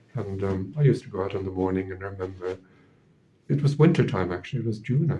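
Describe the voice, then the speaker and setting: With an Irish accent, the voice has a dark, mellow tone and is somewhat breathy, moving at a fairly quick pace with ordinary pitch variation. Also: man. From Ireland. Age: 70s. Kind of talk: interview testimony. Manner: halting, many repetitions and fillers.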